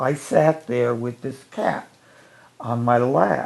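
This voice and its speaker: In an American accent, a man speaks at a very slow pace with a medium pitch and ordinary pitch variation. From northeastern Ohio, Ashtabula County. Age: 80s+. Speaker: retired educator. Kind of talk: storytelling interview.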